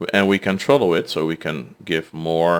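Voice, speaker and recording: A man speaks with a Dutch accent at a moderate pace. The recording is very clean, with a silent background. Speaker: gaming streamer. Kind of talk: gameplay commentary. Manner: halting.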